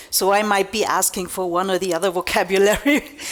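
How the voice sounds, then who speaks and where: A woman with a German accent, medium pitch, ordinary pitch variation and a fairly quick pace. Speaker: magazine publisher. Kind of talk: keynote speech. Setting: stage with audience.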